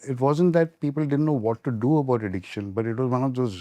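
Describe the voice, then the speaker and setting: Over a quiet background, a man at medium pitch speaks fairly quickly in a dark, mellow tone. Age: 60s. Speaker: addiction specialist and medical doctor. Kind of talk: podcast interview. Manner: halting.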